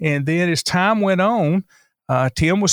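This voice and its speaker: Speaking with a Southern US accent, a man uses a high pitch and lively intonation. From North Carolina, Lincoln County. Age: 60s. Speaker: radio station and newspaper owner. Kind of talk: casual interview.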